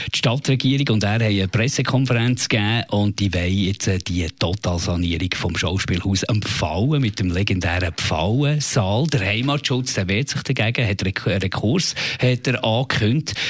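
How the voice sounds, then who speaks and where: Amid noticeable background noise, the voice holds very even loudness, with lively intonation and a moderate pace. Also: man. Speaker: radio host. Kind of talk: casual chat.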